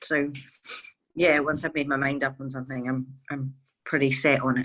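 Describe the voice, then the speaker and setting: A woman's very deep, low voice in a Glaswegian accent, with monotone, flat intonation. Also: moderate pace. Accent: Glaswegian Scottish. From Scotland, Glasgow. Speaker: veterinarian, charity co-founder. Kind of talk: interview.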